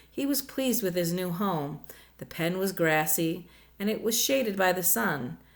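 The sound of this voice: This is an unforced reading voice. It reads on through.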